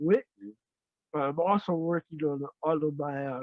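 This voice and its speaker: A fairly high-pitched man keeps to a moderate pace. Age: 60s. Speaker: gospel musician and songwriter. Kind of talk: interview. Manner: halting.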